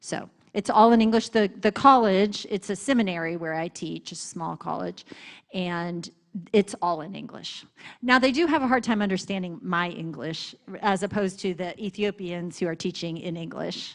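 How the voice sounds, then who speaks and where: A normal speaking voice with an American accent, moderate pace, ordinary pitch variation and big swings in loudness. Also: woman, medium pitch for a woman. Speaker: missionary seminary teacher. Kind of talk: church missions presentation with Q&A.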